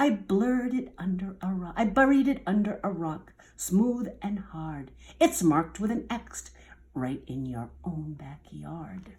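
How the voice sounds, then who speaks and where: A woman performs a put-on character voice at medium pitch. Her pace is fairly slow. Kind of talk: bedtime story. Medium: read story. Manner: playful, teasing.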